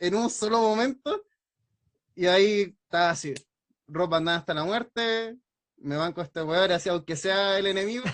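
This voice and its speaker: With a Chilean accent, a man speaks at a high pitch and ordinary pitch variation. His pace is moderate, broken by long, frequent pauses. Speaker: wrestling and anime content creator. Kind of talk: casual chat.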